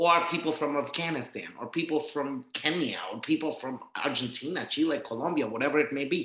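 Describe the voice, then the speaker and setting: A man with a plain, everyday voice talks at a fairly quick pace with hardly any pauses. His pitch is fairly high, with ordinary variation. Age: 30s. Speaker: Spanish teacher and non-profit founder. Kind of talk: casual interview chat.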